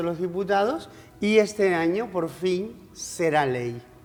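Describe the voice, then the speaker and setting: A woman's unremarkable speaking voice, fairly low in pitch, at a fairly slow pace. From Canary Islands, Spain. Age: 60s. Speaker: politician, former regional MP. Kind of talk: TV interview. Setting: TV studio.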